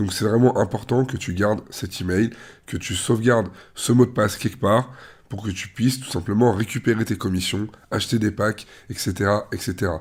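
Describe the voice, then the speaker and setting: At a medium pitch with ordinary pitch variation, a man sounds somewhat breathy. He speaks at a moderate pace. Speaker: online investment promoter. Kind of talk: tutorial. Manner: casual, hesitant fillers.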